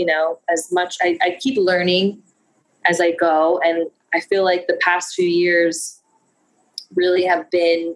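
A woman's fairly low pitch with monotone, flat intonation, a very slow pace, long, frequent pauses and very even loudness. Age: 30s. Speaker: fashion business owner. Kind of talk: casual interview chat.

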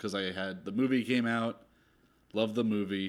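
A man with an American accent talks at a moderate pace in a plain, everyday voice with ordinary pitch variation, on a very clean recording with a silent background. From South Jersey, US. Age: 30s. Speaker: filmmaker. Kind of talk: casual chat.

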